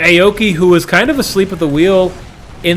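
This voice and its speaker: Clearly audible noise sits in the background. Over it, a man talks at a medium speed. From Australia. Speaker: esports caster. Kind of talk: live commentary. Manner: animated.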